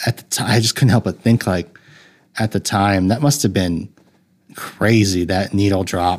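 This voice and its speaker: A man with an ordinary speaking voice, fairly low in pitch, at a moderate pace with ordinary pitch variation, on a very clean recording with a silent background. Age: 30s. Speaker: film podcast host. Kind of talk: solo casual review monologue. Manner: rambling with frequent fillers and restarts.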